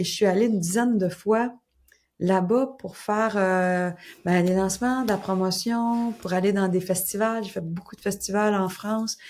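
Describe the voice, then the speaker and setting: The speaker has a Quebec accent and a fairly slow pace. The intonation stays fairly even. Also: woman, medium pitch for a woman, very clean recording, silent background. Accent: Québécois. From Quebec, Gaspésie (Caplan). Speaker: crime novelist. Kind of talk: interview. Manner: casual, conversational.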